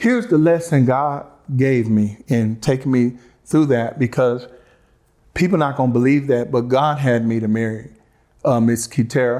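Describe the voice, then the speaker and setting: A man with a slight Southern US accent and fairly even intonation. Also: medium pitch for a man, moderate pace. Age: 40s. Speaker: interview guest, ex-husband. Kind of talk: interview, personal testimony. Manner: halting, repeating himself.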